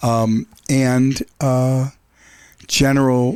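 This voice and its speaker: A man's medium-pitched voice. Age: 60s. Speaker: rock musician. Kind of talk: casual interview. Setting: live-streamed podcast. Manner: halting, repeats words.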